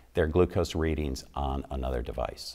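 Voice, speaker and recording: Against a quiet background, a man with vocal fry talks at a moderate pace. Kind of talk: interview answer. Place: studio. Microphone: lapel.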